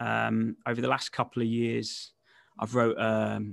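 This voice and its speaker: In a West Midlands accent, a man talks over a very clean recording with a silent background and a dry, close sound free of echo. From West Midlands, England. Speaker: recruitment entrepreneur and author. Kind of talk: casual interview.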